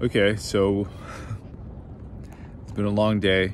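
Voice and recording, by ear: A man talks slowly in a fairly low voice. His intonation stays monotone and flat.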